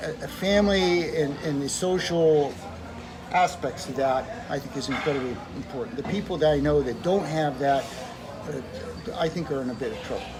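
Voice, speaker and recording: In an American accent, a man with a fairly high pitch talks at a fairly quick pace yet with long, frequent pauses, amid audible room echo and noticeable background noise. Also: ordinary pitch variation. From Southern California. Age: 70s. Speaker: retired dentist. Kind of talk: interview. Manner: halting.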